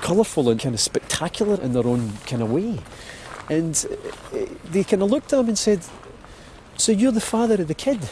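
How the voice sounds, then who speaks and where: A man with a Glaswegian accent speaks at a moderate pace, his pitch swinging very widely. Noticeable background noise runs underneath. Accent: Glaswegian Scottish. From Scotland. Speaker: actor. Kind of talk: personal storytelling walk narration.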